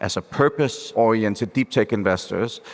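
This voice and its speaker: A man is speaking. He has a Danish accent. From Denmark. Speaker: venture capital investor. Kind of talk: panel discussion. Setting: stage with live audience.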